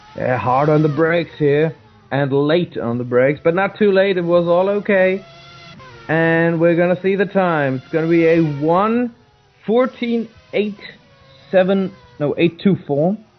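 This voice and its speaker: A man speaks in a high voice at a fairly slow pace with long, frequent pauses and ordinary pitch variation, over noticeable background noise. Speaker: sim racing commentator. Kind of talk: live commentary. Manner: halting.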